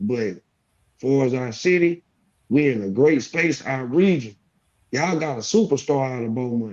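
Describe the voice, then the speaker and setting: Lively intonation marks this man's medium-pitched voice, which moves at a moderate pace with long, frequent pauses. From Texas. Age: middle-aged. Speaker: rapper. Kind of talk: casual interview chat.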